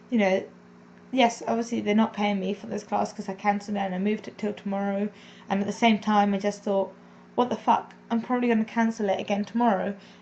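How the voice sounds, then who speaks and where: A woman speaks at a very fast pace. Her intonation is monotone and flat, with noticeable background noise behind her. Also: medium pitch for a woman. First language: not English. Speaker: vlogger and English as a second language teacher. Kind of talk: personal confessional vlog. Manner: casual, meandering.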